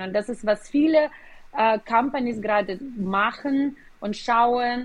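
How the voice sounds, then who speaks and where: Her pitch moves in an ordinary way. The voice belongs to a woman and sits fairly high. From Ukraine, Kyiv. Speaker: business executive. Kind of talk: interview. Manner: hesitant with fillers.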